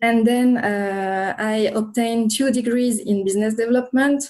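A woman with a French accent speaks at a moderate pace in a fairly high pitch. Her tone is dark and mellow, her intonation monotone and flat. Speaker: regulatory affairs consultant. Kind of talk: interview.

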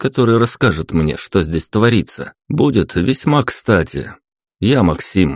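A natural reading voice is heard here. Behind it, the background is quiet.

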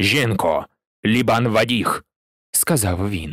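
An unforced reading voice with ordinary pitch variation comes through over a quiet background.

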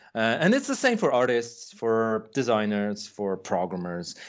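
The speaker has a Polish accent and ordinary pitch variation. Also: man. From Poland. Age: 40s. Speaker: game producer. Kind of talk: interview. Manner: halting.

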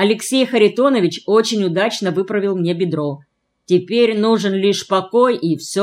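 It is plain reading aloud with ordinary pitch variation. The background is quiet.

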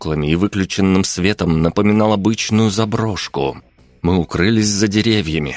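Plain reading aloud with ordinary pitch variation

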